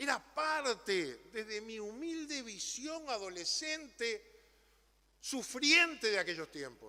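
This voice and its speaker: A man speaks in a raised, projected voice at an extremely high pitch and a very slow pace. His pitch swings very widely, and his loudness shifts a great deal. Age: 60s. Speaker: politician. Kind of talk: parliamentary speech. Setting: legislative chamber. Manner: formal.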